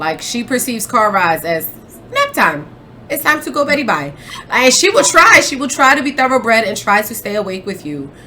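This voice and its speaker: This woman's high voice swings very widely in pitch, with an animated tone and a fairly quick pace. Noticeable background noise sits under her speech. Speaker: podcast host. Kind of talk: casual chat. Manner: mumbles sometimes.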